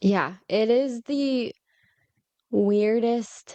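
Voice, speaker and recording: Dry and close with no echo, a woman's dark, mellow voice carries an American accent and ordinary pitch variation. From United States. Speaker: podcast host. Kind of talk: casual chat.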